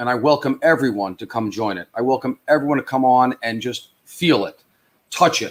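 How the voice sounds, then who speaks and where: A man with a New York accent speaks at a moderate pace, his pitch medium and its variation ordinary. The sound is dry and close with no echo, and his loudness swings widely. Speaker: social media platform founder. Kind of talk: live stream interview. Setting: live stream. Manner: halting, many fillers.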